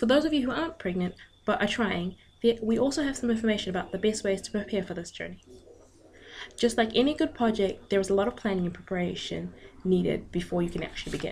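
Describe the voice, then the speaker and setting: Somewhat breathy and very fast, a woman speaks at a medium pitch with lively intonation. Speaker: student. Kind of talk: class presentation. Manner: stuttering, with pauses.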